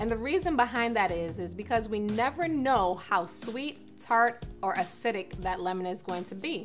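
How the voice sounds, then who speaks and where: A woman talks at a moderate pace. Clear music can be heard behind her. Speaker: cooking show host. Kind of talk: tutorial. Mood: cheerful and upbeat. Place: kitchen.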